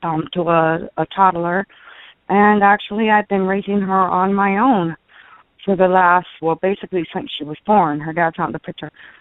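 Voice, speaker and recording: An unremarkable speaking voice from a woman, medium-pitched, moderately paced, and fairly even in intonation. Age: 40s. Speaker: caller. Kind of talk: personal call-in question.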